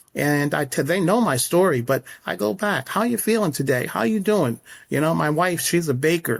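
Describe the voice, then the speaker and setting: In a very clean recording with a silent background, a man with an American accent uses an unremarkable speaking voice, speaking at a moderate pace with lively intonation. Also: fairly high pitch for a man. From upstate New York. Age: 60s. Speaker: horse stable owner. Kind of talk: interview.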